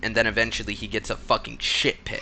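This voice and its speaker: This man talks at a moderate pace with vocal fry and a bright, sharp, animated tone. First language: Spanish. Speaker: gaming YouTuber. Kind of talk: gameplay commentary. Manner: casual, animated.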